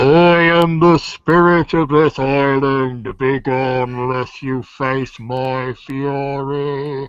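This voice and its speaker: A man speaks in a put-on character voice at a medium pitch. He talks very slowly, with hardly any pauses. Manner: menacing, threatening.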